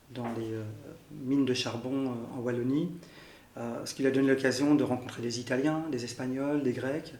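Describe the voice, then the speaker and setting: Amid audible room echo, a man at a medium pitch speaks at a moderate pace in a monotone, flat intonation, with long, frequent pauses. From Belgium, Brussels. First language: Arabic (speaking French). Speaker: interviewee sharing family history. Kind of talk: interview testimony. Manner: halting, many fillers.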